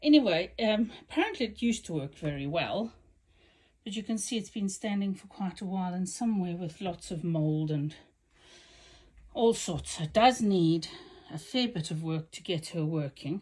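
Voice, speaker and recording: Lively intonation marks the somewhat breathy voice of a woman. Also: medium pitch for a woman, moderate pace. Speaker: sewing machine restorer. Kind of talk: casual talk to camera.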